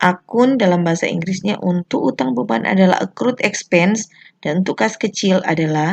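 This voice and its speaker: A woman speaks with a fairly low pitch. The sound is dry and close, with no echo. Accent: Manado. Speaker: accounting teacher. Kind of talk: educational tutorial explanation.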